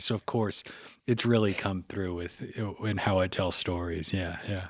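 A man speaks with a New Orleans accent. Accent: New Orleans Southern drawl. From New Orleans, Louisiana. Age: 40s. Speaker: podcast host and audio engineer. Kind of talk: casual chat.

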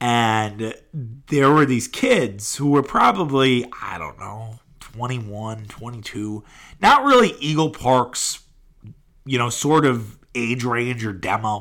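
In an American accent, the speaker talks at a very slow pace with ordinary pitch variation on a very clean recording with a silent background. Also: man, medium pitch for a man. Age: 30s. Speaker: sports podcast host. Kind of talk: casual solo sports podcast.

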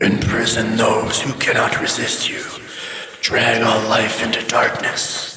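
A man in a put-on character voice at a fairly slow pace, with a clear echo and faint music in the background. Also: medium pitch for a man. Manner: droning, menacing.

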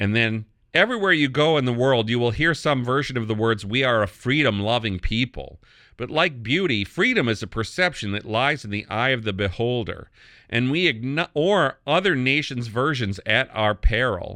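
A man with an American accent speaks at medium pitch in a bright, sharp tone. His intonation is lively, and the background is quiet. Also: moderate pace. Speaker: podcast host and media critic.

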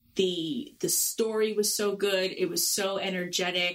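A woman's medium-pitched voice in a Long Island accent. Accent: Long Island New York. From Long Island, New York. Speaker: podcast host. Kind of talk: casual chat, show review.

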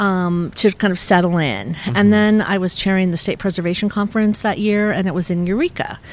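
A woman talks at a fairly quick pace with hardly any pauses. Hers is a plain, everyday voice at a medium pitch, with fairly even intonation. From Northern California. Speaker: historic preservation advocate. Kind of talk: interview.

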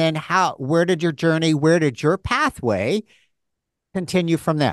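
A man with an American accent speaks at a high pitch and a fairly slow pace. The sound is dry and close with no echo, over a quiet background. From rural United States. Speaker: podcast host, former dancer. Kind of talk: casual interview chat. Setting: studio.

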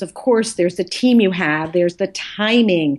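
At a fairly quick pace, a woman with a normal speaking voice talks with ordinary pitch variation. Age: 50s. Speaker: professor and author. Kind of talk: interview.

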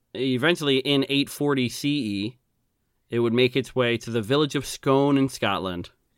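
An ordinary speaking voice from a man at medium pitch. He keeps a moderate pace with ordinary pitch variation. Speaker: podcast co-host.

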